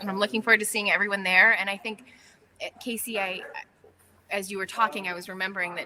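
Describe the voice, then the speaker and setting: A woman speaks at a medium pitch with fairly even intonation. There is noticeable background noise. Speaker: patient advocacy organization leader. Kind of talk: live webinar update. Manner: fast.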